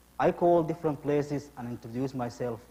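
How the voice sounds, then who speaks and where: With a non-native accent, a man speaks at a very fast pace in a fairly high pitch. His voice is somewhat breathy, with ordinary pitch variation. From abroad, studied in Russia. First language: not English. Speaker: immigrant telling his story in a play. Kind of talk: theatrical monologue.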